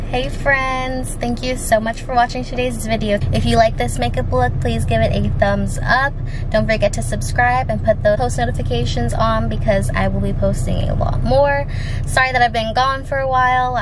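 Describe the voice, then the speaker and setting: A woman talks at a moderate pace. The sound is dry with no echo, though background noise is noticeable. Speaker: beauty vlogger. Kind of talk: casual vlog chat. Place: car. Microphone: phone near.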